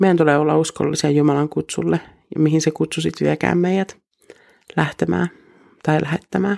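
A woman speaks with a very deep, low pitch, a dark, mellow tone and some vocal fry. Her pace is moderate and her intonation fairly even, with very even loudness and long, frequent pauses. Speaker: missionary devotional speaker. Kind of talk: devotional reflection ending in fervent, heartfelt prayer. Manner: warm, earnest, intimate; in prayer: fervent, imploring, pleading tone.

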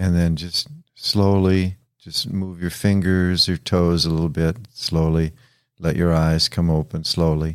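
A man speaks in a very deep, low voice with a calm, soothing tone and fairly even intonation. His pace is fairly slow, in a very clean recording with a silent background. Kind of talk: guided meditation. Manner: slow, calm, soothing, with long pauses between instructions; gentle, instructive, with hesitant fillers.

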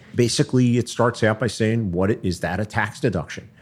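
With an American accent and an unremarkable speaking voice, a man talks at a fairly quick pace with fairly even intonation. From Philadelphia. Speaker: accountant and tax advisor. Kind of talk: interview.

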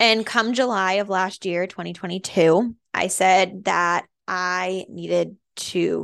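A woman with an American accent speaks at a very slow pace in a medium pitch, her intonation fairly even against a quiet background. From Massachusetts, Andover. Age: 20s. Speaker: postpartum doula and podcast host. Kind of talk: casual monologue. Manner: chatty with many fillers.

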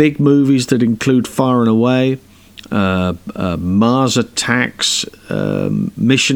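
This man speaks at a medium pitch. His pitch moves with ordinary variation. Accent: British. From UK. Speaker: podcast host interviewing stunt performers. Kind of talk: interview.

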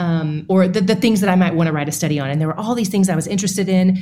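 Here a woman sounds somewhat breathy, with ordinary pitch variation. Audible room echo surrounds her voice. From East Tennessee. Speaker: Bible teacher and podcast host. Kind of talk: interview conversation.

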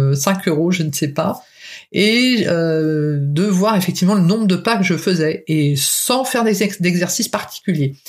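A woman speaks with a somewhat breathy voice and lively intonation. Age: 50s. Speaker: podcast host, weight-loss coach. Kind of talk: solo podcast monologue. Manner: hesitant, many fillers.

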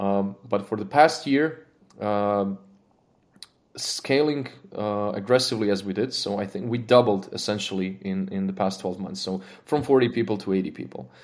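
This man has a Croatian accent and a fairly low pitch. He keeps a moderate pace with ordinary pitch variation. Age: 30s. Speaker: engineering manager. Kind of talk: casual interview. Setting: studio. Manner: halting.

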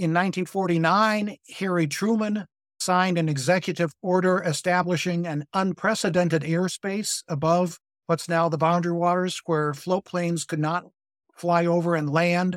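On a very clean recording with a silent background, a high-pitched man speaks at a moderate pace with fairly even intonation. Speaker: conservation advocate. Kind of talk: casual chat.

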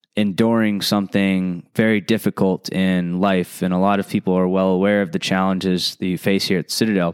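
A man with a fairly low pitch. His is a plain, everyday voice. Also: dry, close sound with no echo. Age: 30s. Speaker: podcast host. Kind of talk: solo podcast monologue.

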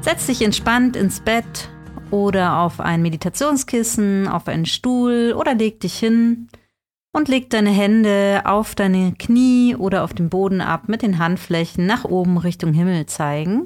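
With an unremarkable speaking voice, a woman talks fairly slowly, her intonation lively and her loudness very even. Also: medium pitch for a woman. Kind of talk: guided meditation. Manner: soft-spoken, slow and soothing; gentle, calm, unhurried with long pauses.

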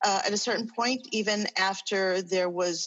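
A woman speaks at a moderate pace in a normal speaking voice. Her pitch is medium and her intonation fairly even. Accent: American. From New York. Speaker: social work professor. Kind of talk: panel discussion.

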